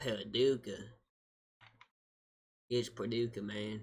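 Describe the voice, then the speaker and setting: A raspy, put-on character voice from a man with a Southern US accent, medium pitch, monotone, flat intonation and a fairly slow pace. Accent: Southern American. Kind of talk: casual, emphatic.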